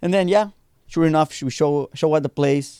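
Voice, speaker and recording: Fairly quick speech from a man with a Spanish accent, dark, mellow tone and a dry, close sound with no echo. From Mexico. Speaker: punk band bassist. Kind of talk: casual podcast interview chat.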